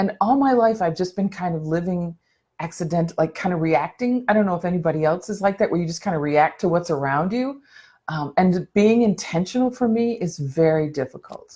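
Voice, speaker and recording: On a very clean recording with a silent background, a woman talks at a fairly quick pace, her fairly low voice somewhat breathy, dark and mellow, with lively intonation. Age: 60s. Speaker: mental health motivational speaker. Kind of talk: live video chat. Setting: live video stream. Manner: casual, halting.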